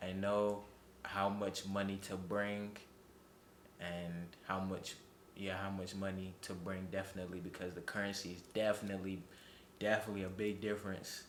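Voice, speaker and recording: Amid audible room echo, a man speaks at a moderate pace and fairly low pitch, monotone and flat, with long, frequent pauses. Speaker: young traveler interviewed about his trip. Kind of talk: casual interview answers. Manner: halting, with many fillers and repetitions.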